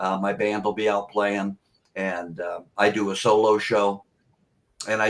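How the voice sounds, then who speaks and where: The recording is very clean, with a silent background. A man speaks at a fairly slow pace in a fairly low pitch. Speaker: rock and blues singer. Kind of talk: casual chat. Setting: podcast interview. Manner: loud.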